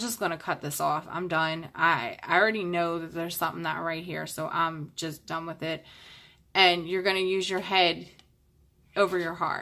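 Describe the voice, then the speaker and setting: In a very clean recording with a silent background, a woman speaks in a bright, sharp tone with flat, monotone intonation. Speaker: tarot reader. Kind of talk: tarot reading monologue.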